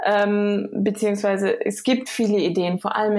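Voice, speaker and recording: In a normal speaking voice, a woman talks at a moderate pace and medium pitch with fairly even intonation. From Germany, near Frankfurt (Hesse). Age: 30s. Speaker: startup co-founder. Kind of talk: podcast interview.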